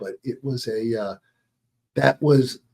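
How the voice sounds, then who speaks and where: Someone with an American accent speaks in a dark, mellow tone. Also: man. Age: 70s. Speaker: businessman and sports referee. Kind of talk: interview. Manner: halting.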